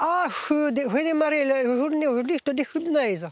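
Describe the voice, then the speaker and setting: A put-on character voice mumbles along at a moderate pace. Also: woman, high pitch for a woman. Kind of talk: rural dialect.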